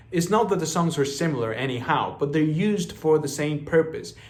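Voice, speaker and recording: The speaker has a Spanish accent and an animated tone. Audible room echo hangs on the voice. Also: man. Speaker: music reviewer. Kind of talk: album review. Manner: casual, animated.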